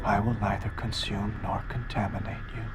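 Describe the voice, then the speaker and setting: A man performs a put-on character voice at a fairly low pitch and a moderate pace. Loud background noise runs underneath. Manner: creepy, lulling.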